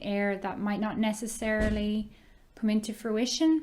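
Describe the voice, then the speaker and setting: Moderately paced, fairly high female voice on a very clean recording with a silent background. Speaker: online ESL teacher. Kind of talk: casual talk to camera.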